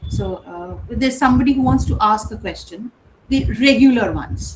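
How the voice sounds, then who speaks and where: A woman's loudness swings widely as she talks at a moderate speed amid noticeable background noise. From India (Kolkata). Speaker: English professor. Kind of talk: lecture. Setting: online session. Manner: conversational, with hesitations.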